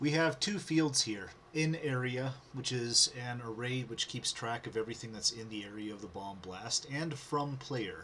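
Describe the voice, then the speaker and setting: Noticeable background noise sits behind a man who speaks at a moderate pace and medium pitch with ordinary variation and hardly any pauses. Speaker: programmer. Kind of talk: coding tutorial narration. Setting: webcam microphone.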